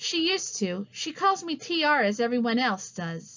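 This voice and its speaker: The speaker puts on a character voice with very wide pitch swings. The pace is moderate. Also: woman, high pitch for a woman. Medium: read story. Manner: dry, direct.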